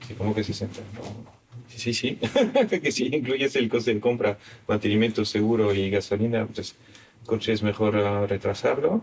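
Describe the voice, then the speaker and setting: With a non-native accent, a man of medium pitch talks at a moderate pace with fairly even intonation. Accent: foreign accent in Spanish. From Belgium. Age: 50s. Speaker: investment firm founder. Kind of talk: interview. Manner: halting.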